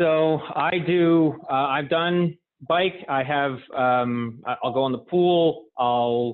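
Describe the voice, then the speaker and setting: Speaking at a very slow pace, a man uses a fairly high pitch with ordinary variation in it. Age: 30s. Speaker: amateur marathon runner. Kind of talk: casual interview.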